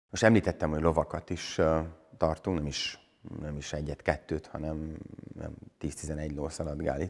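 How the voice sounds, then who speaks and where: Against a quiet background, a man with a very deep, low voice talks fairly slowly, with big swings in loudness and long, frequent pauses. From Partium, Satu Mare (Szatmárnémeti), Romania; Romania. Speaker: Reformed pastor and buffalo farmer; Reformed pastor. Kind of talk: interview, explaining church history. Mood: calm, informative. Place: church. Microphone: lapel.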